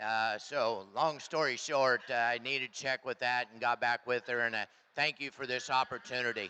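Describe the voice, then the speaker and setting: A man speaks at a medium pitch and moderate pace. His tone is bright and sharp, with fairly even intonation. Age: 60s. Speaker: livestock show judge; hog farmer. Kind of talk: judge's reasons and closing remarks over PA. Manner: casual, halting with fillers.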